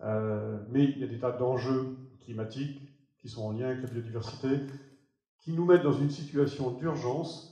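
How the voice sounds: A man's dark, mellow voice at a medium pitch, moderate in pace with ordinary pitch variation, in strong room echo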